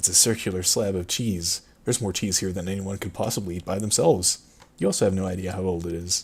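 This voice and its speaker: Somewhat breathy, a man talks very fast in a very deep, low pitch with fairly even intonation. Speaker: streamer running own text adventure game. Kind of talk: casual chat while narrating game text.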